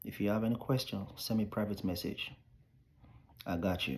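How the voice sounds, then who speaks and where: Speaking at a moderate pace with long, frequent pauses, a man with a fairly low pitch sounds somewhat breathy. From Nigeria. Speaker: immigration advice vlogger. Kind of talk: casual vlog advice monologue.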